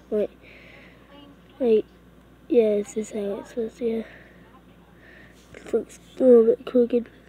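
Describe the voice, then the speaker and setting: A woman speaks at a moderate pace with a fairly high pitch and fairly even intonation, her dry, close sound free of echo despite noticeable background noise. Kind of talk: casual gaming tutorial talk. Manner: hesitant, rambling.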